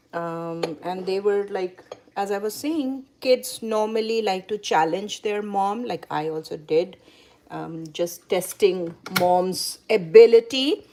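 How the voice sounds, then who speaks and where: Against noticeable background noise, a woman with a Bengali accent speaks at a very slow pace, her medium-pitched voice varying in an ordinary way. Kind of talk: cooking demonstration. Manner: halting.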